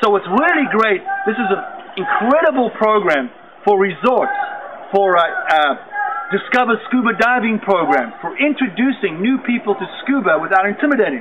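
A man keeps a moderate pace while noticeable background noise continues behind him. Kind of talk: product introduction talk. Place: waterside.

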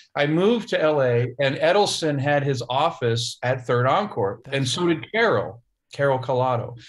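A man's somewhat breathy voice with an American accent and lively intonation. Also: fairly high pitch for a man, moderate pace. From Ohio, US Midwest. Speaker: session drummer; guest. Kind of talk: casual chat. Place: office. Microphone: video call.

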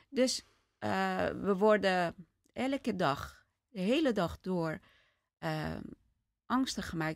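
A woman speaks with ordinary pitch variation. The background is quiet, and the sound is dry with no echo. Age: 50s. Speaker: podcast host. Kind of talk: interview. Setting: studio with couch. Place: home room. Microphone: studio mic.

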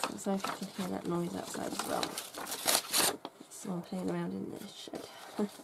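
Loud noise fills the background. Over it, a woman speaks. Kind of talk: casual crafting tutorial chat.

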